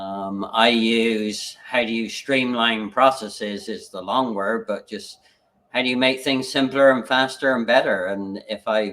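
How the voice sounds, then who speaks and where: A man at medium pitch with fairly even intonation, an ordinary speaking voice. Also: fairly slow pace. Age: 60s. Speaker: business coach and livestream host. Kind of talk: casual chat. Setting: live video stream.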